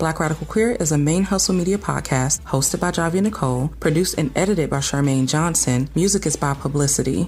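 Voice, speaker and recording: A woman with an American accent talks at a very fast pace with hardly any pauses, her pitch very deep and low. Her loudness stays very even, pitch variation is ordinary, and background noise is noticeable. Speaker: podcast host. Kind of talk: scripted outro.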